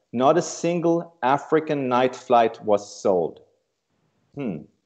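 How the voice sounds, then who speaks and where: This man has a normal speaking voice. His pitch sits in the medium range and his intonation is lively. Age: 60s. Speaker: travel company CEO. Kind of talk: prepared speech.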